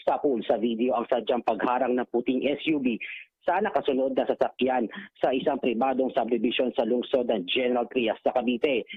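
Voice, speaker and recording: With ordinary pitch variation, a man speaks at a medium pitch. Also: moderate pace. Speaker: news reporter. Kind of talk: news reading, formal broadcast report. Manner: formal.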